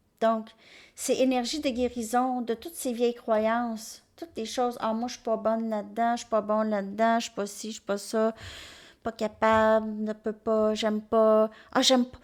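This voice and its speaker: In a very clean recording with a silent background, a woman with a strong Quebec accent speaks fairly slowly at a fairly high pitch, monotone and flat, with big swings in loudness. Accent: strong Québécois French. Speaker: tarot reader. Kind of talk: tarot reading monologue.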